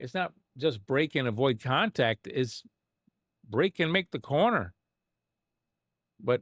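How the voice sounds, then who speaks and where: A man speaks with lively intonation and vocal fry. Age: 50s. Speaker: sim racing streamer. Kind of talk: live stream commentary reviewing a replay. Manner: animated; halting.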